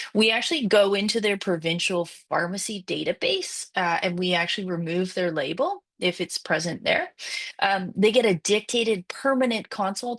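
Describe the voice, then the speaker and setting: Her voice sits at a medium pitch. The woman's pitch shifts in an ordinary way. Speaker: obstetrician. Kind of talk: webinar presentation. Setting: online webinar. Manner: fast.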